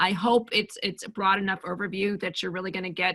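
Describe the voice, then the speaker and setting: A woman speaks in a bright, sharp tone. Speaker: Medicare insurance agent and agency owner. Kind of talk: webinar presentation. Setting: video call webinar. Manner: fast.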